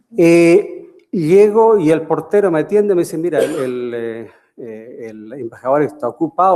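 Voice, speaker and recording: A man's dark, mellow tone with lively intonation. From Chile. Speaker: professor emeritus. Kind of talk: lecture. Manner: halting, many fillers.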